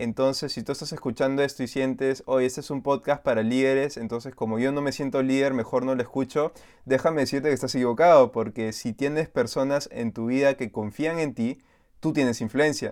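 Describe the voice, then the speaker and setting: On a very clean recording with a silent background, a man with a Peruvian accent talks at a fairly quick pace and medium pitch, his intonation fairly even. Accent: Peruvian Spanish (Lima). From Lima, Peru. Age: 20s. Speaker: youth pastor. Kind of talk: casual interview chat.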